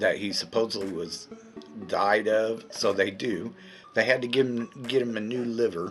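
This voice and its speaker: Music plays in the background. A man speaks in a fairly low pitch with fairly even intonation. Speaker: movie reviewer. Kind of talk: casual talk to camera.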